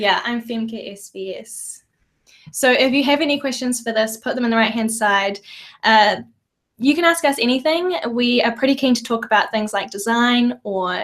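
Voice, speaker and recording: A woman with a New Zealand accent speaks at a fairly high pitch with ordinary pitch variation. The recording is very clean, with a silent background. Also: big swings in loudness. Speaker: podcast co-host, designer. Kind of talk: casual chat. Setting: live video stream, in a room together.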